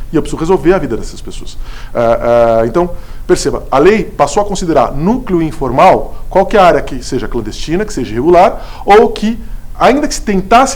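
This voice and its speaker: A man with a high pitch talks fairly quickly, his pitch swinging very widely, amid noticeable background noise and audible room echo. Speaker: law lecturer, city attorney. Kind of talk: lecture. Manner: fast; stumbles over words.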